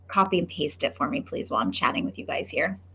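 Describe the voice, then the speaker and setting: A woman speaks at a medium pitch with a bright, sharp tone. Her voice carries vocal fry. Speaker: photography business coach. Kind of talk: live webinar sales pitch. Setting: livestream. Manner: fast; animated.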